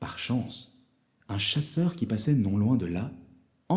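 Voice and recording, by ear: A natural voice reading aloud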